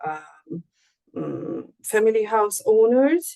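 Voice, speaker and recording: A woman is speaking. Her pace is very slow. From Hungary. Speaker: researcher. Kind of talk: Q&A answer after lecture. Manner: slow, halting.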